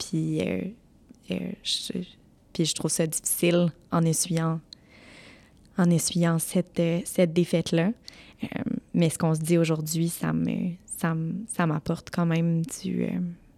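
A woman with a dark, mellow tone and fairly low pitch speaks at a very slow pace, with long, frequent pauses and monotone, flat intonation. The recording is very clean, with a silent background. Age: 30s. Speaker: family lawyer. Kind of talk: interview.

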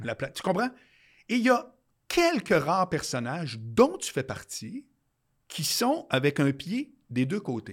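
Over a silent background on a very clean recording, a man speaks at a very slow pace and a high pitch, with very wide pitch swings and long, frequent pauses. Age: 50s. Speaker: podcast host. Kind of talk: announcement; casual chat.

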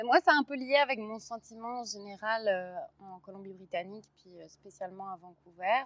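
A woman with a normal speaking voice talks at a moderate pace and fairly high pitch, with lively intonation, big swings in loudness and hardly any pauses. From Brussels, Belgium. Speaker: actress and playwright. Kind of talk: casual chat. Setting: outdoors.

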